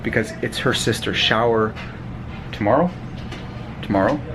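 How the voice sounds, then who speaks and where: Noticeable background noise sits behind speech that has ordinary pitch variation. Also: man. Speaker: vlogger, family restaurant owner. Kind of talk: casual vlog.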